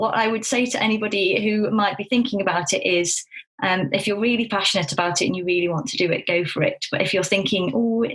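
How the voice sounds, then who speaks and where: A woman with a Staffordshire accent talks at a very fast pace, her pitch varying in an ordinary way. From Staffordshire, England. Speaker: clinical psychologist. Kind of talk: podcast interview. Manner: animated.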